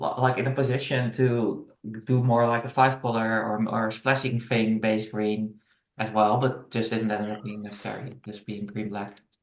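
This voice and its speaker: Someone with a Dutch accent talks at a moderate pace, their intonation fairly even. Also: man. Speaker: gamer. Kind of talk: casual chat. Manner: halting.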